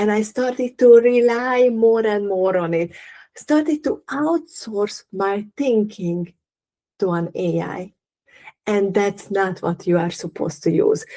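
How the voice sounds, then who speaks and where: A woman with a non-native accent speaks in a fairly high voice with a dark, mellow tone. She goes at a very slow pace with lively intonation. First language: not English. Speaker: holistic living coach. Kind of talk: live workshop talk. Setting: livestream.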